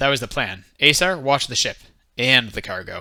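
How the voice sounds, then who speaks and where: A man drawls through a put-on character voice at medium pitch, moving at a moderate pace with lively intonation. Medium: read story. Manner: terse, drawling.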